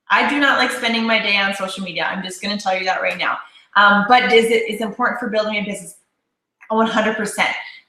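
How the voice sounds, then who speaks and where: The speech comes very fast, with audible room echo. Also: woman, fairly high pitch for a woman. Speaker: network marketing leader. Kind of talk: casual chat. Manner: loud; animated.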